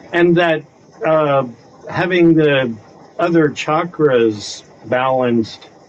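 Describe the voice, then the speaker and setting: The speech moves at a very slow pace with long, frequent pauses and ordinary pitch variation, over noticeable background noise. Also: man, fairly high pitch for a man. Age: 60s. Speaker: discussion group participant. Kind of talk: casual group discussion.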